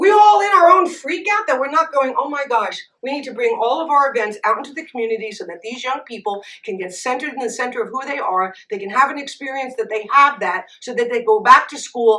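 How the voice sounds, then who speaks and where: Speaking very fast with hardly any pauses, a woman uses a raised, projected, animated voice at high pitch, with very wide pitch swings and big shifts in loudness. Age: 60s. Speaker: spiritual speaker and radio host. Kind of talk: talk with Q&A at a Sunday gathering; guided breathing.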